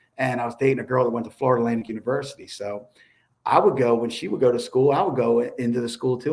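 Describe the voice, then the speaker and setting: A man talks in a Baltimore accent. His pace is very fast. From Baltimore, Maryland. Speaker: former federal prisoner. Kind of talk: interview.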